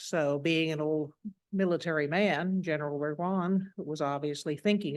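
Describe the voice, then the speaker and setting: In a Tennessee accent, a woman with a very deep, low pitch keeps a fairly even intonation against a quiet background. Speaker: horse racing historian and author. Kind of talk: lecture. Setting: lecture hall with audience.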